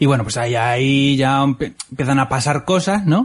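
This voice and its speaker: With an unremarkable speaking voice, this man holds a medium pitch and shows ordinary pitch variation. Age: 30s. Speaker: podcast host. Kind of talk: casual chat.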